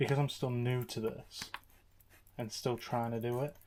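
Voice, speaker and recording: A quiet, bored-sounding man with an English accent, medium pitch and monotone, flat intonation. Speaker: motorbike YouTuber. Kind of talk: casual vlog commentary. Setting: home garage. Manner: quiet, subdued; flat, bored-sounding.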